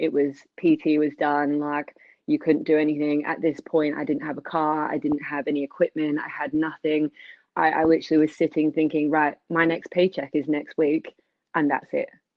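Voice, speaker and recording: With an American accent, a woman talks at a moderate pace in a very deep, low voice and monotone, flat intonation. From Scotland, Edinburgh. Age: 20s. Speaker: personal trainer and business owner. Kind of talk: webinar interview, personal story. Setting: video call webinar.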